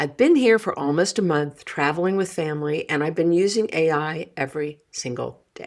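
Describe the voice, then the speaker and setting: On a very clean recording with a silent background, a woman speaks at a very deep, low pitch with ordinary pitch variation. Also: moderate pace, hardly any pauses. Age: 70s. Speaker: podcast host. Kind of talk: podcast monologue with a letter read aloud. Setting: recording on the road, apartment.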